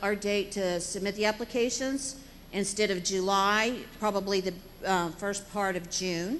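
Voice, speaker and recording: A woman at medium pitch talks at a moderate pace with an American accent in an ordinary speaking voice. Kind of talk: budget presentation and Q&A.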